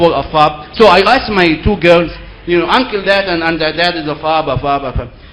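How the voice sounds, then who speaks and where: A man's high-pitched voice, lively in intonation and moderate in pace, comes through noticeable background noise and audible room echo. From Egypt. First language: Arabic. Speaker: seminar speaker. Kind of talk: lecture.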